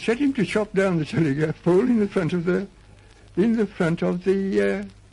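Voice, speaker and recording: A man speaks at a moderate pace in a high pitch with a dark, mellow tone. His pitch swings very widely. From Australia. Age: 80s+. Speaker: blacksmith. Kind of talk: oral history interview answer.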